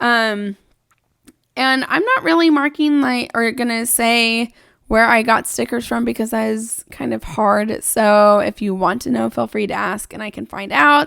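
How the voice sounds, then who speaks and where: A woman speaks fairly slowly in a normal speaking voice, her fairly high pitch showing ordinary variation. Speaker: planner video creator. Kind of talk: casual talk-through vlog.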